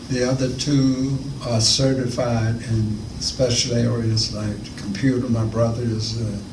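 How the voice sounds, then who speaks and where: A man with a North Carolina accent, fairly slow and flat in monotone, amid noticeable background noise and audible room echo. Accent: Southern US (North Carolina). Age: 80s+. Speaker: retired math teacher. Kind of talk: interview. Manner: halting.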